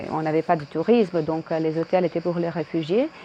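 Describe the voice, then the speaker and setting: A woman with a Croatian accent and ordinary pitch variation. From Croatia (Dubrovnik). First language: Croatian (speaking French). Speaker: video blogger, former tour guide. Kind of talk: casual vlog monologue. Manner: hesitant, many fillers.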